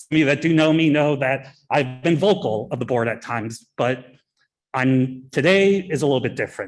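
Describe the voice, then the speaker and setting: This man has a normal speaking voice, pitched fairly high. His pitch varies in an ordinary way, and his pace is moderate. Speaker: parent giving public comment at school board meeting. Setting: public meeting room.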